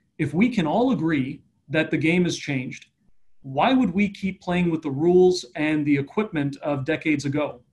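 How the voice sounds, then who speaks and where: Against a quiet background, a man with a Canadian accent speaks at a moderate pace in a fairly high, somewhat breathy voice with ordinary pitch variation. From Eastern Canada. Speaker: economic development strategist; panelist. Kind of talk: online panel discussion. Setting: online video event. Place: office. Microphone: video call.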